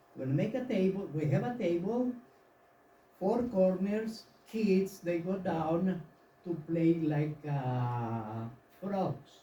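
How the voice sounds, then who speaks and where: A man speaks in a Yucatán accent at a very slow pace, leaving long, frequent pauses. His voice is high-pitched and his intonation is lively. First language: Yucatec Maya. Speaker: audience member, tour guide. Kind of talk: audience question. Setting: live forum with audience.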